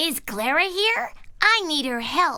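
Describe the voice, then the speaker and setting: A put-on character voice, pitched high. The pace is fairly slow. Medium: read story. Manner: warm, encouraging.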